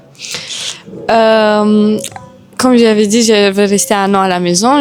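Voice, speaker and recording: Against noticeable background noise, a woman with a Romanian accent speaks at a fairly slow pace and medium pitch with fairly even intonation. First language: Romanian (speaking French). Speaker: Muay Thai boxer. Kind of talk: interview.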